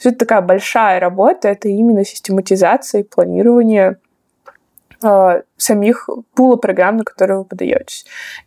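At a moderate pace, a woman with a dark, mellow tone speaks at a medium pitch with fairly even intonation, the sound dry and close with no echo. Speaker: graduate student. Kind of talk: casual interview.

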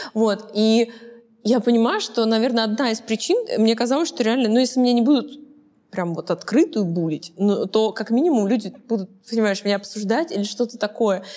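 An unremarkable speaking voice, a woman's, comes at a moderate pace in a fairly high pitch with ordinary pitch variation. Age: 20s. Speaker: talk show host. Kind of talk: casual interview chat.

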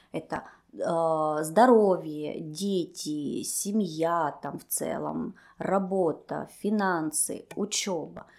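Recorded very cleanly against a silent background, a woman speaks with a fairly low pitch and ordinary pitch variation. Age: 30s. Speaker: cognitive behavioral therapist. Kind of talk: interview.

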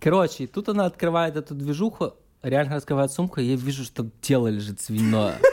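An unremarkable speaking voice from a man, fairly high-pitched and fairly quick, with lively intonation on a very clean recording with a silent background. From Ukraine, Odesa. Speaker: digital agency project manager. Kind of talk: casual chat.

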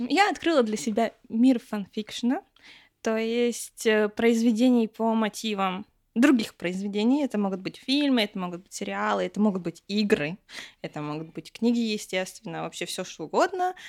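Speech comes at a moderate pace with lively intonation and big swings in loudness. The sound is dry and close with no echo, on a very clean recording with a silent background. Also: woman, fairly high pitch for a woman. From Russia, rural village. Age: 20s. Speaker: foreign language teacher. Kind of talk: casual chat. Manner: animated.

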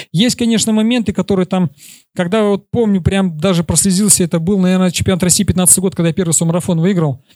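Talking at a very fast pace, a man with high pitch and a dark, mellow tone keeps very even loudness and fairly even intonation in a dry, close sound with no echo. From Kyrgyzstan. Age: 30s. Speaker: marathon runner. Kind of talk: conference talk and Q&A.

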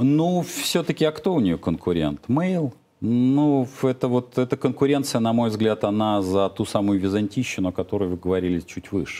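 Very wide pitch swings in a man's voice of medium pitch. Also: moderate pace. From Soviet Union (Russia). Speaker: economist and entrepreneur. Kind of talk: heated debate. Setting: studio, live broadcast. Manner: hesitant, filler-heavy.

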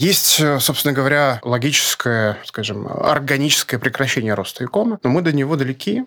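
Bright, sharp male speech at a moderate pace, lively in intonation, with a dry, close sound and no echo. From Russia (born in Grozny). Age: 40s. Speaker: e-commerce market researcher, company co-founder. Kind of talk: interview.

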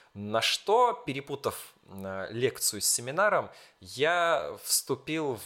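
The recording of this man's voice is very clean, and the background is silent. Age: 20s. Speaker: school teacher. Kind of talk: casual chat.

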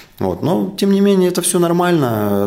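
A calm-toned man's voice with very wide pitch swings over noticeable background noise. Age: young. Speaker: business association leader. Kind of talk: interview.

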